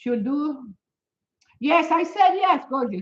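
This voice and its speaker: A woman's high-pitched, animated voice with very wide pitch swings. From Venezuela. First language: Spanish. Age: 70s. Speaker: fitness and health motivator. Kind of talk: live stream chat with viewers.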